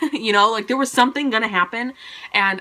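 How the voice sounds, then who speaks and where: Amid noticeable background noise, a woman speaks in an animated tone with ordinary pitch variation. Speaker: book vlogger. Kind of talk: casual monthly book review vlog. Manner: fast; animated, chatty.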